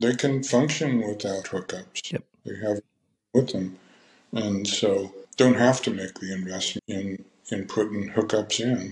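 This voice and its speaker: A man with an American accent talks at a fairly slow pace in a fairly low, somewhat breathy voice. His intonation is fairly even. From California. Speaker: winery owner. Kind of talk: interview.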